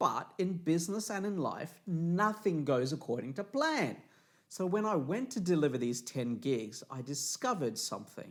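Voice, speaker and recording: An animated man with an Australian accent speaks in a high pitch. His voice swings very widely up and down. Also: moderate pace. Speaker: motivational speaker. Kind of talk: promotional talk.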